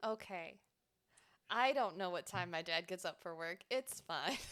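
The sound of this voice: A woman speaks fairly slowly with lively intonation. Her pitch is fairly low and her tone fairly bright.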